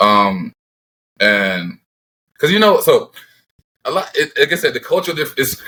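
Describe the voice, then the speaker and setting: Speaking at a moderate pace with a Jamaican Canadian accent, the voice breaks into long, frequent pauses. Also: man. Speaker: professional football player. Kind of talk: casual interview chat.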